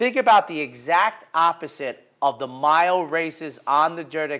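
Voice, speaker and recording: The setting is quiet. A man talks with lively intonation. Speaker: horse racing analyst. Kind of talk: commentary. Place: studio. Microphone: lapel.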